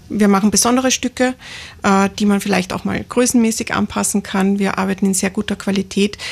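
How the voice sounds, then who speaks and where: A woman's somewhat breathy voice at medium pitch, with monotone, flat intonation. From Lower Austria, near St. Pölten. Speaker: master tailor and fashion designer. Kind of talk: radio interview.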